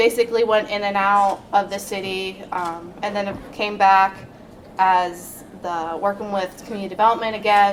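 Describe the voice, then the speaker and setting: Over noticeable background noise, a woman talks at a moderate pace with medium pitch and monotone, flat intonation. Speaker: code enforcement officer. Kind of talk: panel presentation. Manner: soft-spoken.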